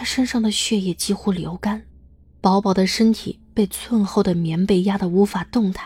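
With fairly even intonation, the voice reads in a natural way.

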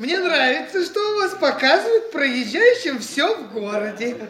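In an audible room echo, a man puts on a character voice with an extremely high pitch, big pitch swings and a bright, sharp tone. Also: moderate pace.

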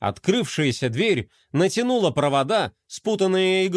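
Plain reading aloud with lively intonation comes through against a quiet background.

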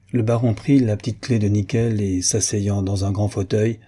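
The speaker reads in a natural reading voice, and the intonation stays fairly even.

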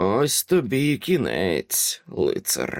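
A man drags out a put-on character voice at a very slow pace. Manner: mocking, menacing.

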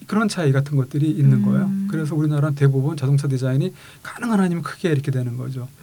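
The speech moves at a very fast pace with ordinary pitch variation against noticeable background noise. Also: man, fairly high pitch for a man. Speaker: car designer and university vice president. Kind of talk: interview chat.

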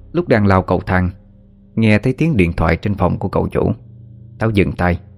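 The passage is read aloud. The reading is plain.

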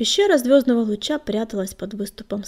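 You hear a natural reading voice. That voice is all the clip contains.

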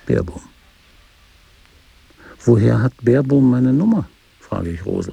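A man puts on a gravelly character voice with a husky, rough edge and vocal fry. His tone is dark and mellow, and his pace is slow. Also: medium pitch for a man, lively intonation.

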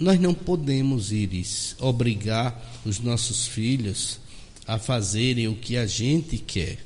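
At a very slow pace, a man talks at medium pitch. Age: 40s. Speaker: doctor and spiritist speaker. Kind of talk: radio interview.

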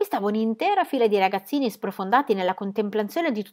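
An unforced reading voice comes through. The reading sounds unforced throughout.

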